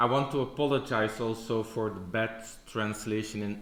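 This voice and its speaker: With a Dutch accent, the speaker keeps a moderate pace amid audible room echo. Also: man. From Belgium (Flemish). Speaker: church historian, lecturer. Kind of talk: conference presentation. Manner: hesitant, many fillers.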